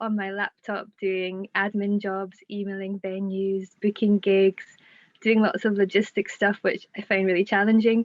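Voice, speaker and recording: Someone speaks at a fairly slow pace with a Scottish accent. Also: woman. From Scotland. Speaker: singer-songwriter. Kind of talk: interview answer. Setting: Zoom call.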